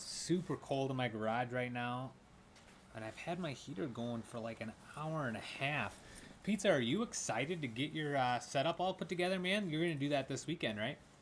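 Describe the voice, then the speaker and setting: A man with a plain, everyday voice, fairly high in pitch, lively intonation and a fairly quick pace. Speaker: gaming streamer. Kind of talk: casual live stream chat. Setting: home garage. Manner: casual, filler-heavy.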